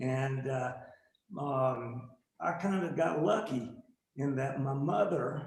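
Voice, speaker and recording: In audible room echo, a man with an American accent speaks very slowly at a fairly high pitch with ordinary pitch variation. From US Appalachia / East Coast, North Carolina. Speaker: artist. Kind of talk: interview. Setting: video call.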